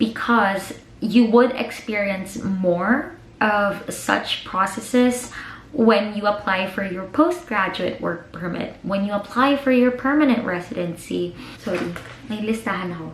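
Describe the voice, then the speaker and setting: A woman with a Filipino accent talks at a fairly slow pace and a medium pitch, her loudness swinging widely. Audible room echo and noticeable background noise fill the recording. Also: ordinary pitch variation. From Philippines. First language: Tagalog. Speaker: vlogger. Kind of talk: casual advice vlog, mixing English and Tagalog. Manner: chatty, talkative.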